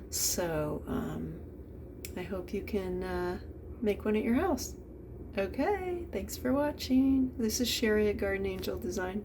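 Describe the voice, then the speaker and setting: Noticeable background noise and audible room echo around a woman speaking fairly slowly. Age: 60s. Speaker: home cook and gardener video creator. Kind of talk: casual cooking tutorial. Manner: hesitant, many fillers.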